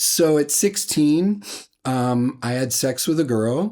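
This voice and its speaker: A man with an American accent speaks in a normal speaking voice, pitched fairly high, with ordinary pitch variation. The recording is very clean, with a silent background. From Washington state, US. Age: 60s. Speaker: musician. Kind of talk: personal testimony.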